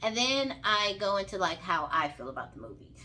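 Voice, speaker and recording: Bright, sharp and animated, a woman's voice in a Southern accent with very wide pitch swings. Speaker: vlogger, movie reviewer. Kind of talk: casual movie review vlog. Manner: animated, informal.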